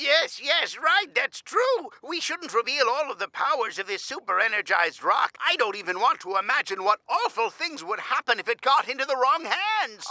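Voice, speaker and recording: A cartoonish character voice, high-pitched with very wide pitch swings, runs at a moderate pace with hardly any pauses. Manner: chatty, rambling.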